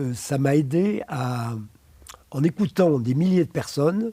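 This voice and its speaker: The speaker is a man with a fairly high pitch. His voice is somewhat breathy, with a dark, mellow tone. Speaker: psychotherapist. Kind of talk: interview. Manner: halting, many hesitations.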